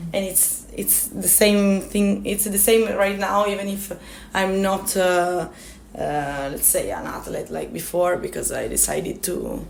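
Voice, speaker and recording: A woman speaks with an Italian accent at a fairly slow pace. Audible room echo surrounds her voice. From Italy, Turin. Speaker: climber and mountain guide. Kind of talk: interview. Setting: radio interview. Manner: halting.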